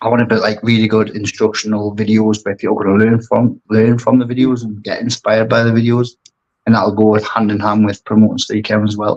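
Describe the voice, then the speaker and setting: A strong Geordie accent carries monotone, flat intonation at a fairly quick pace. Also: man, fairly low pitch for a man. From northeast England, Newcastle. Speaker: aquascaper and brand ambassador. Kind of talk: podcast interview.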